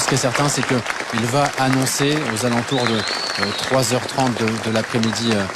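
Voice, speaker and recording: The voice keeps a monotone, flat intonation at a moderate pace, with audible room echo and crowd noise in the background. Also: man. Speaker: TV correspondent on location. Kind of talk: live field report. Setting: convention hall with crowd. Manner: halting, many fillers; soft-spoken.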